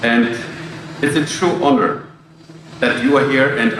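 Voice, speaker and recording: A speaker with a German accent talks at a moderate pace, with audible room echo and noticeable background noise. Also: man. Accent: foreign accent (German). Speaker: logistics company executive. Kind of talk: ceremony speech.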